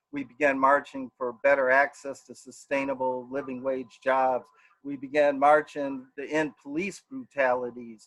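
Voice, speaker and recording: In an American accent, a man speaks at a moderate pace in a fairly high pitch. His intonation is monotone and flat, with big swings in loudness. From Milwaukee, Wisconsin. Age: 60s. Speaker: political candidate. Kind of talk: campaign speech. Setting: online event. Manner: earnest, somewhat halting.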